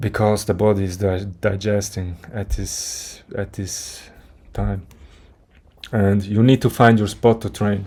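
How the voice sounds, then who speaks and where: The speaker has a non-native accent. The intonation stays monotone and flat. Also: man, fairly low pitch for a man, fairly slow pace. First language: not English. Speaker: fitness content creator. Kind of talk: motivational monologue. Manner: halting, with restarts.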